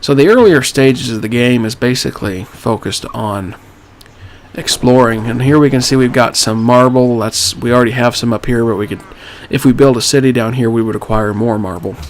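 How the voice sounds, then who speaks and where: Someone speaks at a fairly quick pace with fairly even intonation. Noticeable background noise runs underneath. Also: man, medium pitch for a man. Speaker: gaming YouTuber. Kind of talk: let's play commentary. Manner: casual, conversational.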